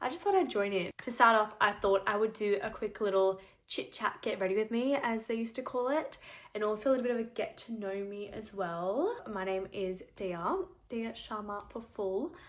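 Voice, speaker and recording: In an Australian accent, a woman with a fairly high pitch talks at a moderate pace with ordinary pitch variation. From Australia, Sydney. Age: 20s. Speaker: beauty vlogger. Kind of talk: casual chat.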